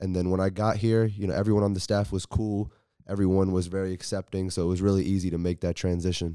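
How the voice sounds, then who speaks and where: In a very clean recording with a silent background, a man with an American accent talks very fast in a dark, mellow tone, his very deep, low pitch held in a monotone, flat intonation. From US. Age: 20s. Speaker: college basketball player. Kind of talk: interview.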